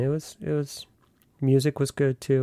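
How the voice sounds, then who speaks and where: Speaking at a fairly slow pace with an American accent, a man has a dark, mellow tone, recorded very cleanly against a silent background with a dry, close sound and no echo. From Virginia (Virginia Beach, Northern Virginia suburbs of DC). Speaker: podcast host. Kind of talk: personal storytelling monologue.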